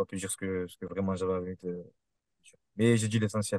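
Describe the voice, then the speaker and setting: With a Marseille accent, a man speaks at a very fast pace with fairly even intonation, in a dry, close sound with no echo. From Marseille, southern France. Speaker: kickboxer. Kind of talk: interview.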